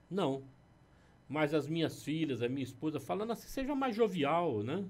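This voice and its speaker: This man has an unremarkable speaking voice, pitched fairly high. He talks at a moderate pace with lively intonation. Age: 60s. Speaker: pastor. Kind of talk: casual chat. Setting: studio.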